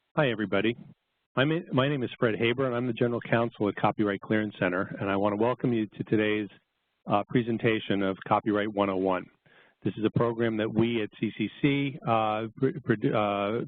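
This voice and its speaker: Fairly quick speech with a New York accent and ordinary pitch variation. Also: man, medium pitch for a man. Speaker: copyright lawyer presenter. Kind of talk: webinar lecture. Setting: online webinar. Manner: fast.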